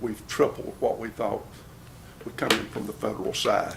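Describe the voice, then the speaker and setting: A man with a Southern US accent, heard over noticeable background noise. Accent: Southern US (Georgia). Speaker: county sheriff. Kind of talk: budget presentation at county commission meeting. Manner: casual, folksy; fast.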